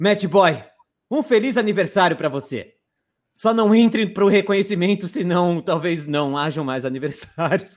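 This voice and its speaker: With a high pitch and an animated tone, a man speaks at a moderate pace. His intonation is lively. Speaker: voice actor and content creator. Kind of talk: casual chat on a live stream.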